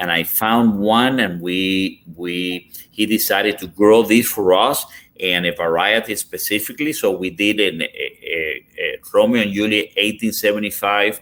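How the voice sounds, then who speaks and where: A man with a Cuban accent and a fairly low voice, fairly slow in pace, his intonation fairly even, with hardly any pauses. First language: Spanish. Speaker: cigar company executive. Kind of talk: podcast interview. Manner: halting.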